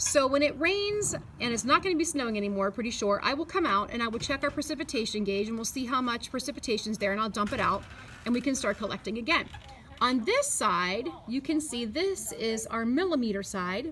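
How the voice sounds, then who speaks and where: At a fairly quick pace, a woman with a high pitch uses lively intonation over noticeable background noise. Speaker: third grade teacher. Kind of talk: tutorial. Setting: outdoors. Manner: fast.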